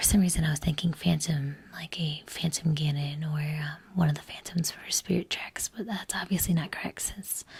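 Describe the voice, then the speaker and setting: The voice is soft-spoken and moves at a moderate pace. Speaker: collector, cosplayer. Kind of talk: ASMR unboxing, soft-spoken talk to camera. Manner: soft, toned down.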